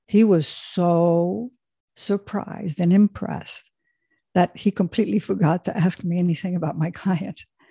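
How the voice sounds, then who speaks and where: A woman speaks in a somewhat breathy voice with a dark, mellow tone. The sound is dry and close, with no echo. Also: fairly low pitch for a woman, moderate pace. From Switzerland. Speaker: executive coach. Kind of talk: interview.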